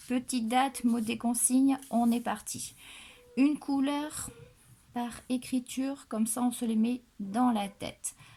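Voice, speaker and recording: Speaking very slowly in a monotone, flat intonation, a woman with a southwestern French accent has a high pitch and a dark, mellow tone. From southwestern France. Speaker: primary school teacher. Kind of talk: tutorial. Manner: instructional, deliberate.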